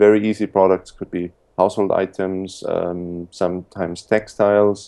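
A man with a German accent speaks in a very deep, low pitch, with a dark, mellow tone and monotone, flat intonation. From Austria. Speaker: importing entrepreneur. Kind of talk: interview.

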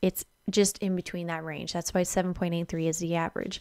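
Speech comes at a fairly slow pace in a monotone, flat intonation against a quiet background. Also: woman. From Alberta, Canada. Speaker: spiritual energy vlogger. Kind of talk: casual video monologue explaining charts. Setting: home video recording. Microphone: studio mic.

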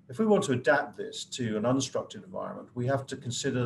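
There's light background noise as a man talks in a somewhat breathy voice with ordinary pitch variation. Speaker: professor guest speaker. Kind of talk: lecture. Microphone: video call.

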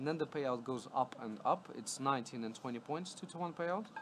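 Noticeable background noise behind a man talking at a fairly quick pace, with ordinary pitch variation. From Latvia. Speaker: live casino dealer. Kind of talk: live commentary. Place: studio.

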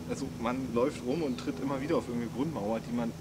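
Loud background noise fills the recording. Through it, a man talks at a moderate speed. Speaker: explorer vlogger. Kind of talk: casual vlog chat. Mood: overwhelmed, amazed.

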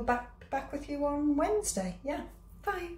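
With audible room echo, a woman speaks with ordinary pitch variation. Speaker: food vlogger. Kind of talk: casual vlog chat. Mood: warm, friendly. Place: kitchen. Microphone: phone near.

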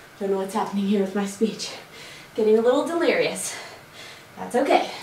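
Audible room echo and light background noise surround the recording. A woman speaks at a moderate pace. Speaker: fitness instructor. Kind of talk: workout tutorial instruction. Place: home room. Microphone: camera far.

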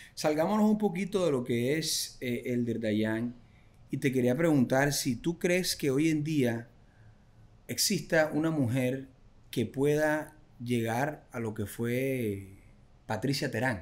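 A man's very slow speech with lively intonation. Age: 30s. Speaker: social media entertainer and interviewer; podcast host. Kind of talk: casual interview. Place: home room. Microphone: studio mic.

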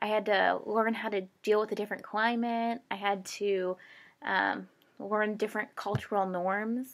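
The speaker has an American accent and a monotone, flat intonation. The pace is fairly slow over a quiet background. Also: woman, fairly high pitch for a woman. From Michigan. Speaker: graduate school applicant. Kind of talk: application video statement. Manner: hesitant with frequent fillers. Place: home room. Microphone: webcam.

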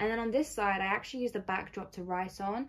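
Speaking at a very fast pace, a woman uses a medium pitch with ordinary pitch variation. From England. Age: 20s. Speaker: YouTuber. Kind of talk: casual crafting vlog. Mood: warm, pleased. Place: home room. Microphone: phone near.

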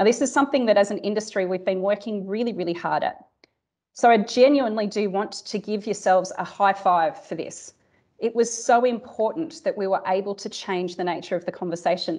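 A woman speaks with an Australian accent at a fairly quick pace. The background is quiet. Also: ordinary pitch variation. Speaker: cybersecurity industry executive. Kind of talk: keynote speech; audience Q&A. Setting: conference stage with audience. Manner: animated. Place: office. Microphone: earbuds.

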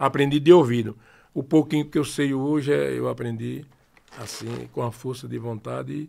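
A man with a Sergipe accent speaks at a moderate pace, his loudness swinging widely. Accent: Sergipe northeastern Brazilian Portuguese. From interior of Sergipe, northeastern Brazil. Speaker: forró singer and accordionist; guest. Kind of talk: casual interview chat. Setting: studio, live-streamed podcast. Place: studio. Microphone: studio mic.

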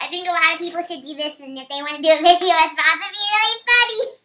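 In a squeaky, put-on character voice, a woman talks at a very fast pace with an extremely high pitch and big swings in loudness. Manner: playful.

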